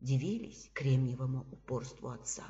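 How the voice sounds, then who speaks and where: Her voice is somewhat breathy. The woman talks at a fairly slow pace. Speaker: psychologist and trainer. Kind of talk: literary reading of a short story, reading competition entry. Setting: home recording for a reading contest.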